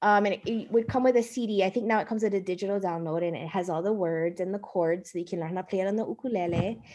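Speaking at a very fast pace with hardly any pauses, a woman with a Hawaiian accent has medium pitch and ordinary pitch variation. Her tone is dark and mellow. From Hawaii, Oahu (Kaneohe). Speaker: Hawaiian-language preschool staff. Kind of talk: interview.

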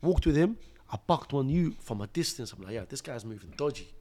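Fairly quick, animated speech from a man with a London accent, fairly high in pitch with lively intonation, on a very clean recording with a silent background. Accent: London multicultural English. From Iraq (Mosul), raised in London. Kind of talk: casual interview with personal testimony.

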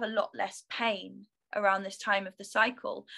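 Bubbly in tone, a woman with a London accent speaks at a moderate pace and a fairly high pitch. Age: 30s. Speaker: yoga teacher and lifestyle coach. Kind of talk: personal testimony in interview.

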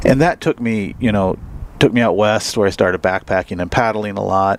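With an American accent, a man speaks in a fairly even intonation. Noticeable background noise runs under his voice. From US Midwest, Missouri Ozarks. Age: 40s. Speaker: wildlife advocacy coordinator and hunter. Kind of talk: casual interview chat.

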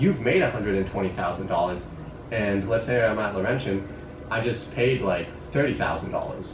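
Against noticeable background noise, a man with a fairly low pitch speaks at a very slow pace. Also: ordinary pitch variation. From Canada, Sudbury, Ontario. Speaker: university student and runner. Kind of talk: casual chat. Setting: in person, Berlin.

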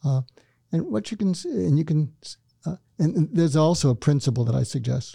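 A man's fairly high, somewhat breathy voice with a dark, mellow tone, lively intonation and a fairly quick pace, in a dry, close sound with no echo. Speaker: psychiatrist and author. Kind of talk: casual interview. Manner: calm, soothing.

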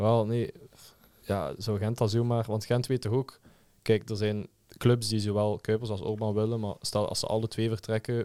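A man's fairly low, dark and mellow voice at a moderate pace, in a flat monotone, on a very clean recording with a silent background. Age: 20s. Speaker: student. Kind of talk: casual chat.

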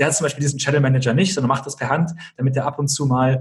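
At a very fast pace, a man talks with fairly even intonation and a fairly high pitch. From Germany, small village near Kassel (northern Hesse). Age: 20s. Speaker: entrepreneur and YouTuber. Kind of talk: podcast interview.

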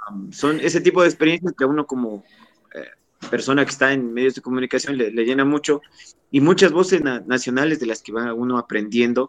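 A man at a fairly quick pace, medium pitch with ordinary pitch variation, big swings in loudness, and a dry, close sound with no echo. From Ecuador, Pelileo (Tungurahua). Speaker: radio announcer and producer. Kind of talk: interview. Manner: halting.

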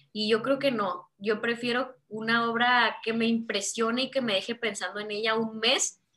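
The tone is bright and sharp, the pace moderate and the pitch variation ordinary. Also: woman. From Mexico. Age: 20s. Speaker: visual artist. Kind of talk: interview conversation.

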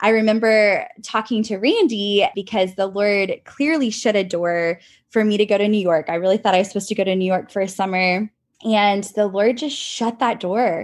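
In a normal speaking voice with an American accent, a woman speaks at a moderate pace and medium pitch with ordinary pitch variation over a quiet background. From Texas (College Station). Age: 30s. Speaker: dance studio owner. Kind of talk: casual chat.

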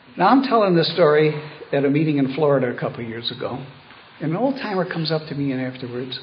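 Over audible room echo, a man with an American accent talks at a fairly quick pace in a fairly high pitch with lively intonation. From Buffalo, New York. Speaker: retired lawyer, AA speaker. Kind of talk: recovery talk / testimony.

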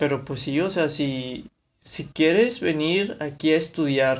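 A fairly high-pitched man at a fairly slow pace. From Mexico, Monterrey, Nuevo León. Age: 20s. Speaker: podcaster. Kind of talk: casual monologue. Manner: halting, many fillers.

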